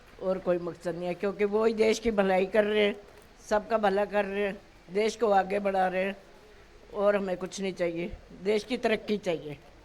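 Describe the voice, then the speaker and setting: Her medium pitch stays in a monotone, flat line as this woman speaks. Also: moderate pace. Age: old. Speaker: voter interviewed at polling booth. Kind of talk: street interview.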